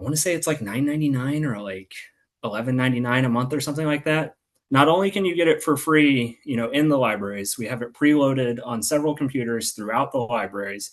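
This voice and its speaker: Over a quiet background, a man with a medium-pitched voice talks at a very fast pace with ordinary pitch variation. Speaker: library outreach presenter. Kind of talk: informational presentation on video call.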